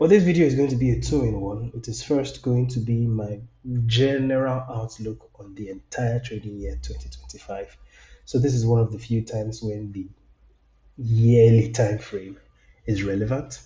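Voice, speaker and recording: A man talks at a moderate pace and a medium pitch. His voice is somewhat breathy, with fairly even intonation. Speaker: trading analyst. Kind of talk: market analysis tutorial.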